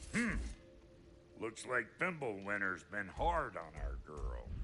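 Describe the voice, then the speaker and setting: A man's gruff, fairly low put-on character voice at a fairly slow pace, over clear background noise. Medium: video game. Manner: gruff, profane.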